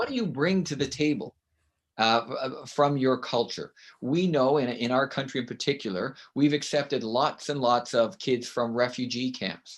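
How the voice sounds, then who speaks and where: A man with a Canadian accent, ordinary pitch variation and a moderate pace, against a quiet background. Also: medium pitch for a man. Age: 60s. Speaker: author and education consultant. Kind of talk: interview.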